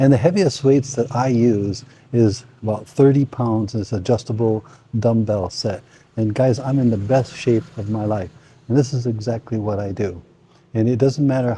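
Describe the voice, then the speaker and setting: Relaxed and somewhat breathy, a man with an American accent speaks at a moderate pace in a dark, mellow tone of medium pitch, with ordinary pitch variation. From United States. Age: 60s. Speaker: retiree fitness vlogger. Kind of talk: casual talk to camera. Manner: relaxed, conversational.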